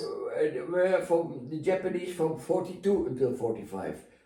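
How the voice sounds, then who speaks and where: A man with a Dutch accent speaks at a moderate pace and fairly high pitch, his intonation lively over noticeable background noise. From Netherlands. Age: 80s+. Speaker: retired navy captain. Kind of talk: interview answer.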